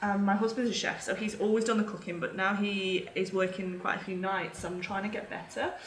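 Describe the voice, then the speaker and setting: A woman with a medium pitch talks fairly fast in a flat monotone, hardly pausing, over noticeable background noise. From England. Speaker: vegan parenting blogger and podcaster. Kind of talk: casual interview chat. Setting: remote call across time zones.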